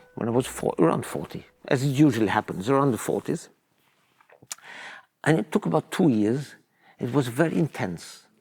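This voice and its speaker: Male voice of medium pitch with vocal fry, very wide pitch swings, a moderate pace, long and frequent pauses, and a dry, close sound with no echo. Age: 70s. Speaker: orchestra conductor. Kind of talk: interview. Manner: halting, with repetitions and fillers.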